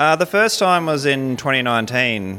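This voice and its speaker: With an Australian accent, a man speaks at a moderate pace over noticeable background noise. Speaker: skeptic convention attendee. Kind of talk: interview. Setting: at a convention.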